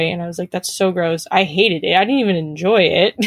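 With a normal speaking voice, a woman talks at a fairly quick pace and a medium pitch in a very clean recording with a silent background. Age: 20s. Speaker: race car driver and student. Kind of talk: interview.

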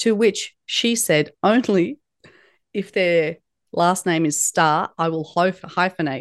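A woman with an Australian accent speaks at a fairly low pitch with lively intonation against a quiet background. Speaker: leadership guest speaker. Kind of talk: podcast interview.

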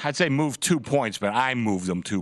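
A man speaks at a fairly quick pace over a quiet background. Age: 60s. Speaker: sportsbook director. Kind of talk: casual sports talk. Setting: studio.

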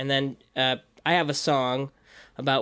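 A man with an American accent at a medium pitch, over a quiet background. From US Midwest, Libertyville, Illinois. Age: 30s. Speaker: rapper and animator. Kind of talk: casual chat.

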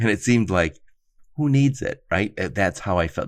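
A man talks with an American accent. His voice has vocal fry. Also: quiet background. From Michigan (Dearborn). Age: 50s. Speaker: podcast host. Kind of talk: casual interview.

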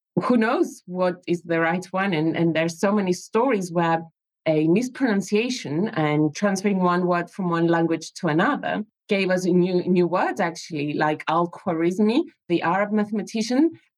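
A woman speaks with a Greek accent at a moderate pace, her pitch medium. Her pitch varies in an ordinary way, and her loudness stays very even. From Greece. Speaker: mathematics educator and author. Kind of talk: casual chat.

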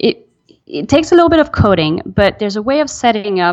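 A woman with a French accent talks at a moderate pace, her pitch swinging very widely. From Belgium. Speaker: email marketing specialist. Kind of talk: interview.

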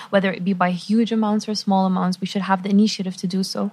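A flat, monotone intonation runs throughout. The voice carries some breathiness. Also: woman. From Lebanon / Qatar (Lebanese Palestinian, raised mostly in Qatar). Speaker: university student. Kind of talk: interview.

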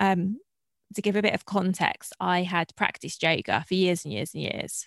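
A woman's medium-pitched voice with a southern English accent, moderate pace, dry, close sound and no echo. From southeast England. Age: 30s. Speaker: entrepreneur. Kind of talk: casual interview.

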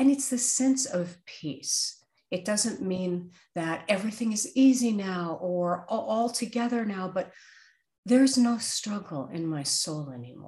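An American-accented woman speaks at a fairly slow pace with a medium pitch and very wide pitch swings. Her tone is dark and mellow, and somewhat breathy. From US Northeast (Brooklyn, New York). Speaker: author and career coach. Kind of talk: interview.

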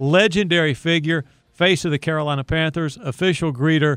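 A man with an ordinary speaking voice talks at a fairly quick pace, his pitch moving in an ordinary way. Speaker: podcast host. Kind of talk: interview chat.

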